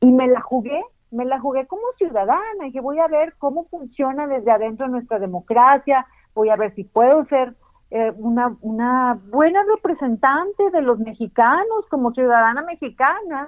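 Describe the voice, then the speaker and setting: This woman talks at a moderate pace with a high pitch and lively intonation. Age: 50s. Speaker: senator and former TV news anchor. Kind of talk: interview. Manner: halting.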